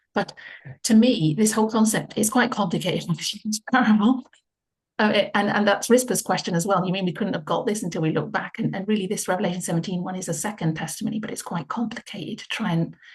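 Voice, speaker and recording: Words come out very fast. The voice carries some breathiness. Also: woman, medium pitch for a woman, ordinary pitch variation. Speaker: Bible study leader. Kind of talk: group Bible study discussion.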